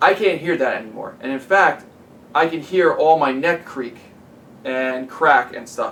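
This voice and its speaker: The speaker is male. He uses an ordinary amount of pitch movement. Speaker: tech product reviewer. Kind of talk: product review. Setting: at home. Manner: casual, conversational; talking louder with headphones on.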